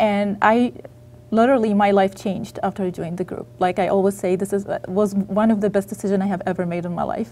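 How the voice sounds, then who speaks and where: A woman speaks at a very fast pace, with a medium pitch and fairly even intonation. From Egypt. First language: Arabic. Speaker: author. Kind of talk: interview. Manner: halting.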